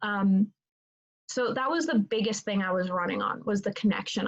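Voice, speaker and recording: In a dry, close sound with no echo, a somewhat breathy woman speaks at a moderate pace and a fairly high pitch with ordinary pitch variation. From Italy. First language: Italian. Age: 20s. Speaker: student leader candidate. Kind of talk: interview. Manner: halting, many fillers.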